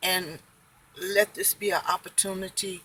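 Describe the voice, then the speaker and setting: A woman's calm, bright, sharp voice at medium pitch, moving at a very slow pace. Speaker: family devotional vlogger. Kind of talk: devotional talk.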